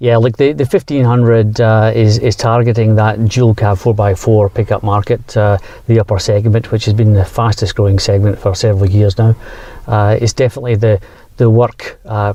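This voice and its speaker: Somewhat breathy and dark, mellow in tone, a man's voice holds monotone, flat intonation at very even loudness. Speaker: automotive executive. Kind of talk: interview. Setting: outdoors in countryside. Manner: hesitant, many fillers.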